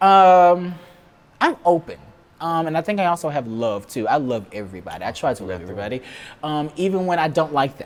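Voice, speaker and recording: A loud man's voice, fairly high in pitch, moving at a fairly quick pace with very wide pitch swings. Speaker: talk show host. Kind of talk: interview.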